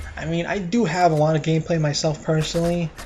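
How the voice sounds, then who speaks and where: A man talks over noticeable background noise. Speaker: gaming YouTuber. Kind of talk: casual gameplay commentary. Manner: mumbling; flat, tired-sounding.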